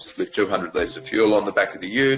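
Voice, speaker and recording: Music plays in the background as a man talks with an Australian accent. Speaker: yoga teacher. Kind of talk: interview. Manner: casual.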